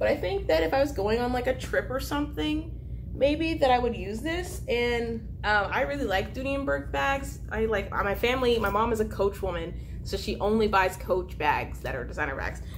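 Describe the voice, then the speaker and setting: With light background noise, a woman talks at a moderate pace. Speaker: vlogger. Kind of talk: casual vlog chat. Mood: cheerful, chatty. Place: home room. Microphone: camera far.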